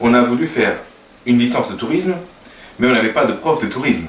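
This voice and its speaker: With a Portuguese accent, a man at medium pitch speaks through audible room echo and noticeable background noise. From Portugal. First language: Portuguese (speaking French). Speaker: language teacher and web designer. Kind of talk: casual talk to camera. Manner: halting, many hesitations.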